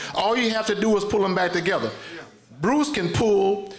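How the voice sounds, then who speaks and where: Audible room echo surrounds a man with a high pitch and an American accent. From US Midwest, Chicago area. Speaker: retired police chief; speaker. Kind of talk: audience remarks. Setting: stage with audience. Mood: impassioned, aggrieved. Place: hall. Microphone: podium.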